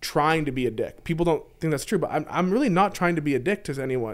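A man's unremarkable speaking voice, fairly high in pitch, with lively intonation and a fairly quick pace, on a very clean recording with a silent background. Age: 20s. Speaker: poker player and investment banker. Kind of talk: casual chat.

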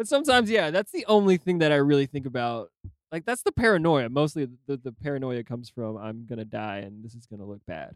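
A man talks very fast, with very wide pitch swings and big swings in loudness. The sound is dry and close, with no echo. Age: 30s. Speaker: podcast co-host. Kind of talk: casual chat.

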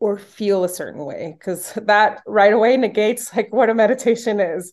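Against a quiet background, the speaker uses a Spanish accent, a moderate pace and ordinary pitch variation. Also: woman. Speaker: yoga and meditation instructor. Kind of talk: casual interview.

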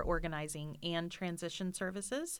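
A woman's normal speaking voice, fairly low in pitch with fairly even intonation, on a very clean recording against a silent background. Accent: American. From Florida. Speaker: professional organizer, business owner. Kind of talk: podcast interview.

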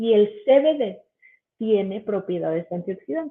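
A woman with an ordinary speaking voice uses lively intonation. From Mexico City. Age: 30s. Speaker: biochemist and cannabis educator. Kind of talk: educational livestream presentation. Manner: casual, filler-heavy.

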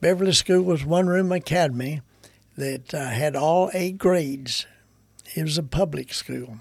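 A man speaks with a Kentucky accent. His pitch is fairly high. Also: ordinary pitch variation, moderate pace. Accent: Southern US, Kentucky. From Kentucky, US South. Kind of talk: casual conversational interview.

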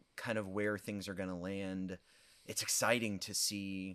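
A man with a very deep, low voice speaks at a moderate pace with monotone, flat intonation. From US Midwest, southern Illinois. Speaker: pastor. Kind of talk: interview conversation.

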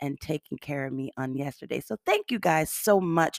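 A woman speaks in a very deep, low voice with an animated tone, her sound dry and close with no echo on a very clean recording against a silent background. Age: 50s. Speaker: podcast host. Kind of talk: motivational talk.

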